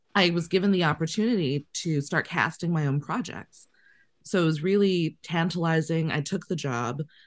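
Her pitch fairly low with ordinary variation, a woman speaks in an ordinary speaking voice. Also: moderate pace. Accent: Canadian. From Canada, Winnipeg. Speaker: casting director. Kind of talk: casual interview.

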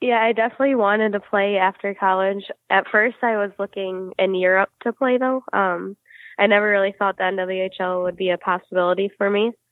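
Speaking fairly quickly with an American accent, a woman keeps a medium pitch and fairly even intonation. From Michigan, Detroit area. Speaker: professional hockey player. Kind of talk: interview.

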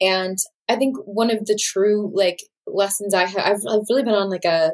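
Her voice is a normal speaking voice, pitched in the medium range for a woman. The intonation is fairly even throughout. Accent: American. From Texas, San Antonio. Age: 20s. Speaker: actor and singer-songwriter. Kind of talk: casual interview.

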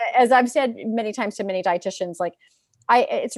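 Very fast and with ordinary pitch variation, a woman's voice comes through dry and close with no echo, in a very clean recording with a silent background. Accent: Californian. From US West Coast, San Francisco Bay Area. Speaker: dietitian and career coach. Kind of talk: interview conversation. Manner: halting, many fillers.

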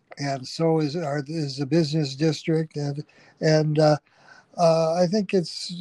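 In a very slow delivery, a man with a Chicago accent speaks in a dark, mellow tone, the sound dry and close with no echo. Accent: Chicago-area American. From US Midwest, Chicago Heights, Illinois. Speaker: historian. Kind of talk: interview. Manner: halting.

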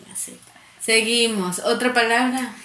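A woman talks at a moderate pace with ordinary pitch variation, and the recording has audible room echo and noticeable background noise. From coastal Ecuador, Santa Elena. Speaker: podcast co-host. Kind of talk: casual chat.

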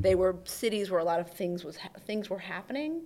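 Fairly low for a woman, a plain, everyday voice moves at a fairly quick pace on a very clean recording with a silent background. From US Midwest, Oakland County, Michigan (Detroit suburbs). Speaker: journalist and author. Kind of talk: casual interview. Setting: video recording.

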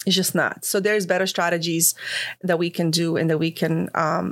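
A woman speaks with a Croatian accent. Her pace is moderate. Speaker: financial services professional. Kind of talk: interview. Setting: studio.

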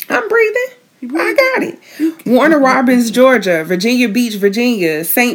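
An upbeat, animated tone at a fairly slow pace. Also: woman. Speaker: podcast co-host. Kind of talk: casual banter, podcast recap.

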